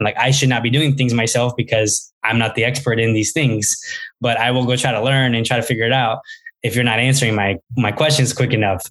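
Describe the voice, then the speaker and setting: Speaking at a fairly quick pace with an American accent, a man has an ordinary speaking voice at medium pitch, fairly even intonation and very even loudness. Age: 20s. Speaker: startup founder and CEO. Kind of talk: interview. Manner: casual, many filler words.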